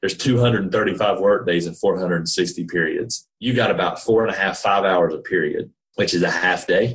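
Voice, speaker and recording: A man with an American accent, fairly slow, with hardly any pauses. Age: 40s. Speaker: entrepreneur, staffing firm founder. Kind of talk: interview, casual business chat.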